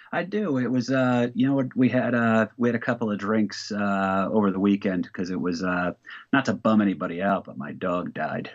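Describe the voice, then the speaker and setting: This is a man with an unremarkable speaking voice. He talks at a medium pitch and a moderate pace. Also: ordinary pitch variation. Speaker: comedian. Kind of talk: casual chat. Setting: video call.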